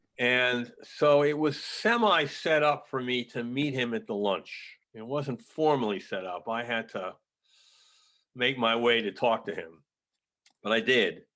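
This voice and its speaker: With an American accent, a man talks at a fairly slow pace in a bright, sharp tone and medium pitch, on a very clean recording with a silent background. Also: ordinary pitch variation. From New York. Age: 80s+. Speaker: film director. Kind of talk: interview.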